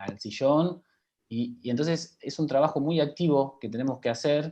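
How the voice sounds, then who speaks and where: In a dark, mellow tone, a man talks at a fairly slow pace. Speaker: health professional. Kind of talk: panel talk.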